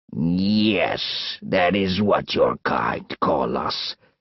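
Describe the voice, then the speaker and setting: Growling in a put-on character voice, a man speaks very slowly at a very deep, low pitch. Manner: snarling.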